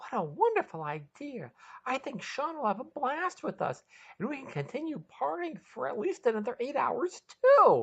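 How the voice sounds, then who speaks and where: Someone uses a put-on character voice, high-pitched and raised to project, against a quiet background. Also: moderate pace. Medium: read story.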